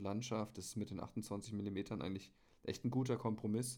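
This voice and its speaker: A man talks at a fairly quick pace in a fairly low pitch. He has an unremarkable speaking voice. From Bavaria (Munich). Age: 30s. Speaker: hobby photographer. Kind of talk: casual chat. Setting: remote call.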